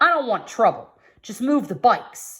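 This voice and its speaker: In a put-on character voice, a woman growls at high pitch and a moderate pace. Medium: read story. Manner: firm, calm.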